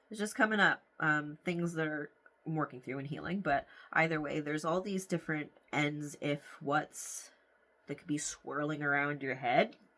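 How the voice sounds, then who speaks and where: Bright, sharp tone at a moderate pace, with big swings in loudness, ordinary pitch variation, and a very clean recording over a silent background. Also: woman, very deep, low pitch for a woman. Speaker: tarot card reader. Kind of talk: tarot reading to camera. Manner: casual, filler-heavy.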